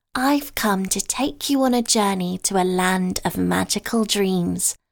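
A woman speaks in an ordinary speaking voice at medium pitch, with lively intonation and a fairly slow pace. The recording is very clean, with a silent background. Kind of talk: bedtime story narration. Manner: soft, slow, soothing.

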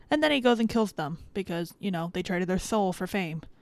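Recorded very cleanly against a silent background, a plain, everyday voice with an American accent shows ordinary pitch variation. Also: woman. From Florida (Miami area). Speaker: podcast host. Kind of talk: casual chat.

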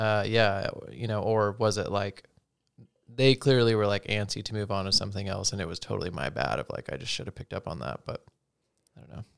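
A man's fairly low voice with vocal fry, lively intonation, big swings in loudness and a fairly quick pace, in a dry, close recording with no echo. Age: 30s. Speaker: podcast host, manages teams at work. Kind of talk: casual chat. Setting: video podcast recording.

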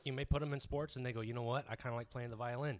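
Words come out at a very fast pace. They are spoken with an American accent. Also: man. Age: 30s. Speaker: mixed martial arts fighter and trainer. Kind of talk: casual chat.

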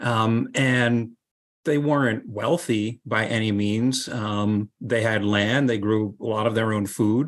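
A man with an American accent talks at a very slow pace. His medium-pitched voice has fairly even intonation. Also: quiet background. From US Northeast (Hudson Valley, New York). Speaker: novelist and men's group leader. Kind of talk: casual interview conversation. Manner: soft-spoken, efficient with words.

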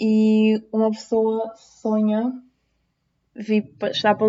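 Here a woman speaks with an Azorean accent. Her voice is somewhat breathy and fairly high in pitch. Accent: Azorean, noticeable. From Azores, Terceira Island. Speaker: nursing student. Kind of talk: personal testimony.

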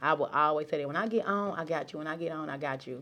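A woman's very deep, low voice at a very fast pace, with ordinary pitch variation. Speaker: entrepreneur, business coach. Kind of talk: casual interview chat.

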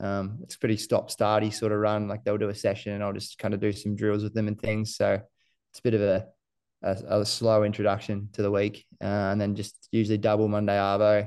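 Against a quiet background, a man with an Australian accent speaks fairly quickly at a fairly low pitch. His intonation is monotone and flat, though his loudness swings widely. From New Zealand, raised in Queensland from age seven. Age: 20s. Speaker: runner. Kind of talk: casual chat. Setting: podcast interview.

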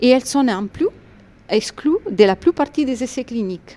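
A woman with a slight Italian accent, dark and mellow in tone, lively in intonation, at a moderate pace, on a very clean recording with a silent background. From Italy. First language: Italian (speaking French). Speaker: medical oncologist. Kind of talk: interview.

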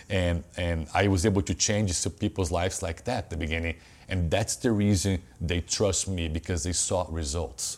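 A man's very deep, low voice with a Brazilian accent, at a moderate pace with ordinary pitch variation. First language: Portuguese. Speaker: personal trainer and gym owner. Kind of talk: casual interview.

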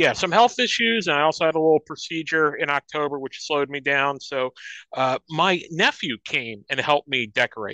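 The speech runs at a moderate pace. The background is quiet. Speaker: commentary host. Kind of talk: opinion rant commentary.

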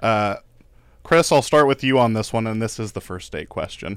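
Recorded very cleanly against a silent background, a plain, everyday voice moves at a moderate pace. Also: man. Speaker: podcast co-host. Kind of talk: casual chat.

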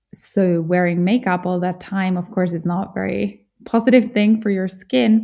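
A woman at a moderate pace in a medium pitch with a Finnish accent, ordinary pitch variation and hardly any pauses. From central Finland (Jyväskylä). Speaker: podcast host, beauty awards founder. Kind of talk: solo podcast monologue.

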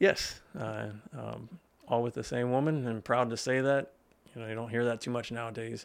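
A man with an American accent and an unremarkable speaking voice, medium pitch, fairly even intonation and a moderate pace. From Pennsylvania, Lebanon County. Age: 40s. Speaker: personal trainer and gym owner. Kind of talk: casual interview. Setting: studio.

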